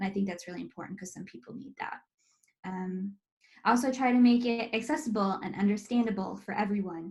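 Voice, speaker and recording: A woman with an American accent talks at a very fast pace, somewhat breathy, at medium pitch with ordinary pitch variation. Her loudness swings widely. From US, North Carolina. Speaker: estate planning business owner. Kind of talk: webinar presentation. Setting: online webinar. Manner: casual, with many fillers.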